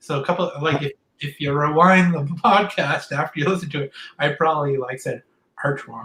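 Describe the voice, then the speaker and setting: Fairly quick and fairly high-pitched, a man speaks in an American accent with ordinary pitch variation. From Boston then Orlando, Florida. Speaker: painter. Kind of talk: casual interview chat.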